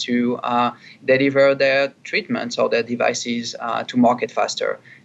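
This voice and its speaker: Moderately paced speech from a man, medium in pitch. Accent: French. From France. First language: French. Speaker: chief marketing officer. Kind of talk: interview. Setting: studio. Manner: halting, many fillers and repeats.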